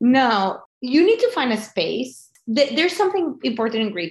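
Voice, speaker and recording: A high-pitched woman with a Spanish accent and very wide pitch swings. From Venezuela. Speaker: bereavement group leader, widow. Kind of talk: interview about grief.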